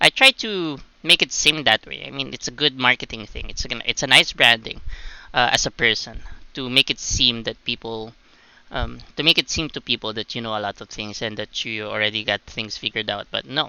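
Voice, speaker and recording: A man speaks at a fairly quick pace and a medium pitch, with ordinary pitch variation. His loudness swings widely. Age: 20s. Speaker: gaming streamer. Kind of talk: casual gameplay commentary. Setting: livestream. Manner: hesitant, many fillers.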